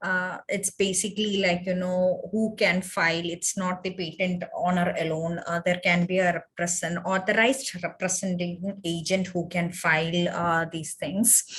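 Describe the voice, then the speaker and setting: Her intonation stays monotone and flat. The woman's pitch is medium. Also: moderate pace, hardly any pauses. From India, Kerala. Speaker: webinar speaker on intellectual property law. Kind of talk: webinar Q&A. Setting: online webinar. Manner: hesitant, many fillers.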